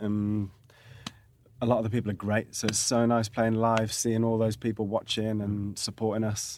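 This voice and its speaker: A man with a Birmingham accent speaks at a fairly quick pace in a monotone, flat intonation. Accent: Birmingham (Brummie) English. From English Midlands, Birmingham. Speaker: rock musician. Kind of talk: casual chat.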